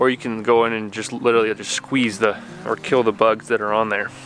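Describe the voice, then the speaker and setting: The man's pitch varies in an ordinary way, and noticeable background noise can be heard. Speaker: gardening youtuber. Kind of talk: outdoor tutorial. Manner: fast.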